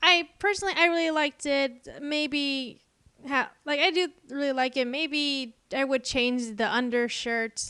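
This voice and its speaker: A woman with an American accent uses a raised, projected voice at a high pitch and a fairly slow pace. Her tone is bright and sharp, with ordinary pitch variation. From Texas. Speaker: art YouTuber. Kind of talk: casual voiceover commentary. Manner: rambling, hesitant with many fillers.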